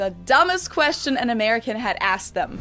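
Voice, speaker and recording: A woman speaks at a fairly quick pace with a German accent. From Germany, Munich. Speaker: YouTuber. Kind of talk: vlog talk to camera.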